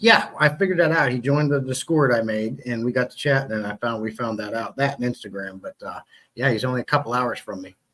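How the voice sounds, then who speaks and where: The speech comes at a very fast pace with ordinary pitch variation. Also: man, medium pitch for a man. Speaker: aquarium hobbyist YouTuber. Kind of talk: casual chat.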